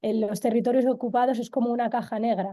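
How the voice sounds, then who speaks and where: Over a quiet background, a woman's fairly high voice carries a dark, mellow tone. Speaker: Sahrawi women's rights activist. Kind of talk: webinar talk. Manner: fast; halting, repeats words.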